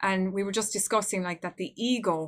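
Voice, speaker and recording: A woman's medium-pitched voice with an Irish accent, fairly quick in pace and fairly even in intonation. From Ireland. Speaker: podcast host. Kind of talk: interview.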